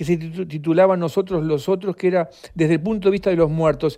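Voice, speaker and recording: Over a quiet background, a man with a high-pitched voice and an Uruguayan accent speaks at a fairly quick pace. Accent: Rioplatense Spanish (Uruguayan). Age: 70s. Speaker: author. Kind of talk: interview. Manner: halting, frequent repetitions.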